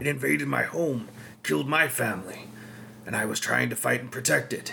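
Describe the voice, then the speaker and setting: A man's raspy, put-on character voice at medium pitch, with very wide pitch swings, a fairly quick pace and clear background noise. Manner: desperate, pleading.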